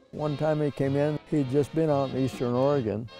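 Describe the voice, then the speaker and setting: Music plays in the background as a man talks at a fairly quick pace and medium pitch. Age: 80s+. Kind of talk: interview answer.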